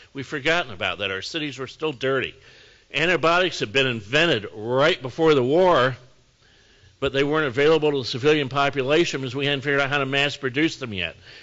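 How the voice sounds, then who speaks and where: A man with a US Midwestern accent and medium pitch speaks at a fairly quick pace with lively intonation. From northern Indiana, US Midwest. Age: 60s. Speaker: mayor. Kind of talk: lecture. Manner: casual, conversational.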